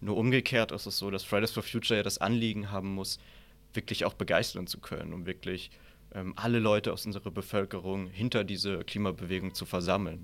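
A man speaks at a fairly quick pace in an ordinary speaking voice, fairly low-pitched, with fairly even intonation on a very clean recording with a silent background. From Southern Palatinate, Germany. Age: 20s. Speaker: author and political science student. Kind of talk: debate.

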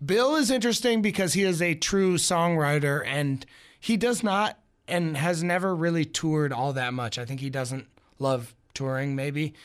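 In a very clean recording with a silent background, a man with a fairly high pitch speaks at a moderate pace with lively intonation. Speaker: music journalist. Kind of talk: radio interview. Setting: radio studio. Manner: energetic.

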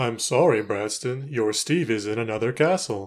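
At a moderate pace, a man uses a put-on character voice at a medium pitch. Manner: comical.

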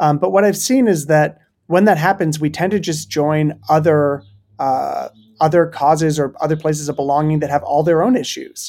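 This is a plain, everyday voice: a man with a fairly high pitch and ordinary pitch variation, at a moderate pace. The recording is very clean, with a silent background. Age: 30s. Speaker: pastor and author. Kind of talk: interview conversation.

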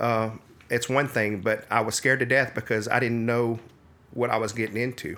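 A man's medium-pitched voice, bright and sharp in tone, at a moderate pace with monotone, flat intonation. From South Louisiana (Acadia Parish). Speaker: local businessman and disaster volunteer. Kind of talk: interview conversation.

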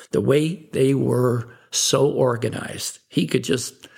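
In an American accent, a man speaks with medium pitch and ordinary pitch variation in an unremarkable speaking voice. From Chicago, US Midwest. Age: 60s. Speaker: businessman. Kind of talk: interview, life story.

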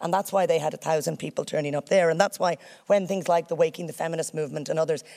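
In an Irish accent, a woman speaks at a fairly low pitch. Her tone is dark and mellow. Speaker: senator. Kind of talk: public speech.

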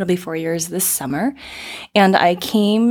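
With an American accent, a woman in a normal speaking voice talks at a fairly quick pace with a fairly low pitch and ordinary pitch variation. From US South, Florida. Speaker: economic development executive. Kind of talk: podcast interview.

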